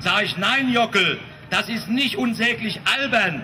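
A man's raised, projected voice at a moderate pace, over noticeable background noise. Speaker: speaker, comedian. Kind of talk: satirical political speech. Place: street.

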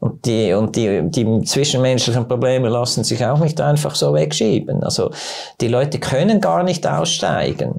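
Against a quiet background, a man talks at a moderate pace with very wide pitch swings and very even loudness. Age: 70s. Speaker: doctor. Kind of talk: casual interview. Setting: studio. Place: studio. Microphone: lapel.

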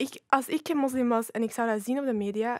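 A woman with a Flemish accent speaks at a moderate pace and a high pitch, recorded dry with no echo over a quiet background. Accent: Flemish Dutch. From Flanders, Belgium. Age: 20s. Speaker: youth ambassador; podcast guest. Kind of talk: casual chat. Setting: studio. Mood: calm, reflective. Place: studio. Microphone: studio mic.

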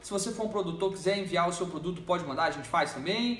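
A man's voice rises and falls in an ordinary way, with room echo clearly audible. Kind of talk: tasting review talk. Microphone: phone near.

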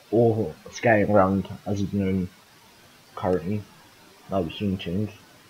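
A man with a fairly low voice speaks very slowly in a flat monotone over noticeable background noise. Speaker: gaming YouTuber. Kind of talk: casual let's play commentary.

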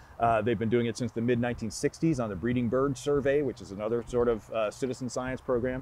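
A man speaks at a fairly quick pace. The sound is dry with no echo, and there is light background noise. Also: fairly even intonation. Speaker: guest. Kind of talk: interview answer. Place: forest.

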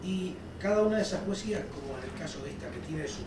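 A man speaks at a moderate pace in a room with audible echo. Noticeable background noise runs underneath. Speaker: lecturer. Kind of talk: lecture. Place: hall. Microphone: camera far.

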